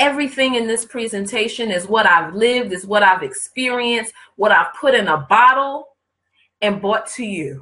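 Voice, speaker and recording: The voice is bright, sharp and animated, moving at a fairly slow pace with ordinary pitch variation. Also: woman. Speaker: life coach. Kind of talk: live webinar presentation. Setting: online broadcast.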